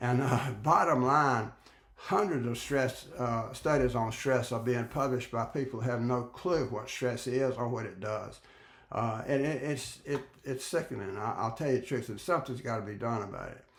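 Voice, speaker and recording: His voice is medium in pitch and somewhat breathy, moving at a moderate pace with ordinary pitch variation. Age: 80s+. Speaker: retired professor and author. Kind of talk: direct-to-camera talk. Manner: halting, many fillers and restarts; emphatic.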